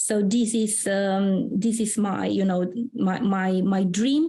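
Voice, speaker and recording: Speaking at a very slow pace with a Romanian accent, a woman uses a medium pitch, a dark, mellow tone, a somewhat breathy quality and fairly even intonation. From Romania, Transylvania. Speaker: career mentor and founder. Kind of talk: interview. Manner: hesitant, many fillers.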